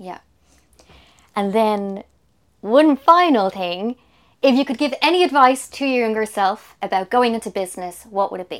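A woman with an Irish accent talks at a moderate pace and a fairly high pitch, her lively intonation broken by long, frequent pauses and big swings in loudness, in a very clean recording with a silent background. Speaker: podcast host. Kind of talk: scripted narration. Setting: recording pod outside an office building.

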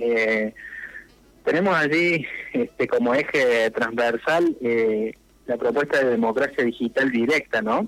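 A man speaks at a fairly slow pace with ordinary pitch variation. He has an ordinary speaking voice. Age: 40s. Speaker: local politician. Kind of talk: radio interview.

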